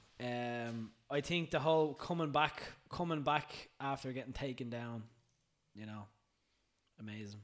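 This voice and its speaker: A man speaks at a moderate pace in a medium pitch with ordinary pitch variation. His loudness swings widely, and he leaves long, frequent pauses. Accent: Irish. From Ireland. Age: 20s. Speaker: personal trainer. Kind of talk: casual chat. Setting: studio.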